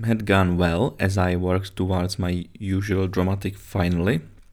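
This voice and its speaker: With a Czech accent, a man speaks in a very deep, low voice. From Czech Republic. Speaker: aviation podcaster and pilot. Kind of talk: solo podcast monologue. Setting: man cave bunker, home recording. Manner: halting, with fillers and self-corrections.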